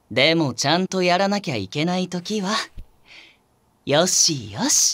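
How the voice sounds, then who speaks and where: In a raspy, put-on character voice, the speaker keeps a moderate pace with lively intonation. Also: man, high pitch for a man. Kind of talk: binaural healing audio drama. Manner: soft-spoken, gentle, soothing.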